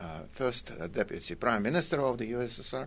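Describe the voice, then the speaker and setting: Speaking with a Russian accent, a man talks at a medium pitch and a moderate pace. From Russia (Kazan, Tatarstan). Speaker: economics professor. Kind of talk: radio interview. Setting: radio studio.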